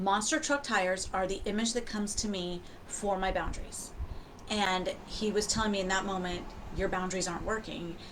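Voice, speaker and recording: A woman's medium-pitched voice at a fairly quick pace, fairly even in intonation, with audible room echo. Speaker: self-help coach. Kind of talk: personal story. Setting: livestream on camera. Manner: fast.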